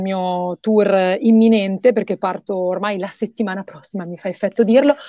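Moderate pace from a woman, ordinary pitch variation, a dry sound with no echo, and a quiet background. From northern Italy, Mantua; northern Italy. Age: young. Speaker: singer-songwriter; guest. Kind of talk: interview. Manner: halting, many fillers. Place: home room. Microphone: video call.

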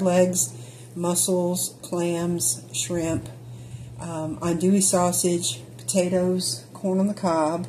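Over light background noise, a woman speaks at a very slow pace. Her voice is somewhat breathy and fairly low in pitch. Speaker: travel vlogger. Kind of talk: casual vlog chat. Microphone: phone near.

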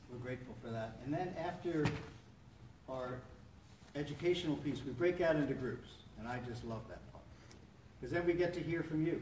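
The speaker talks at a fairly quick pace with ordinary pitch variation and big swings in loudness, amid noticeable background noise. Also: man. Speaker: support meeting host. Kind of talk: welcome talk to a meeting. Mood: warm, encouraging. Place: church. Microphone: camera far.

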